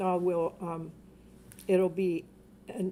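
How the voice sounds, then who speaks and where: This is a woman talking. Her voice has a medium pitch. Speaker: tarot reader. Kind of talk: live stream tarot reading. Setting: home live stream at night. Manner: loud; lowered voice.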